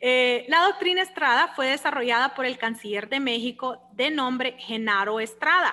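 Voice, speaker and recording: Raised and projected, a woman's high voice moves at a fairly slow pace with hardly any pauses. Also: ordinary pitch variation. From Honduras. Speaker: law lecturer. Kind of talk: lecture. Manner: animated.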